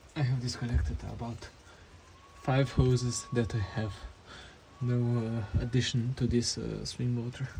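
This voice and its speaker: With a non-native accent, a man speaks fairly slowly at a medium pitch and with fairly even intonation, noticeable background noise behind him. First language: not English. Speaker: mechanic doing a repair tutorial. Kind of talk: tutorial. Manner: halting, with many fillers.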